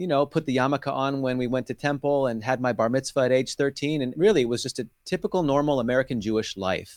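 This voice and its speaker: Against a silent background in a very clean recording, a man talks in a normal speaking voice at medium pitch with fairly even intonation. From California. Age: 40s. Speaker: street evangelist. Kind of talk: testimony.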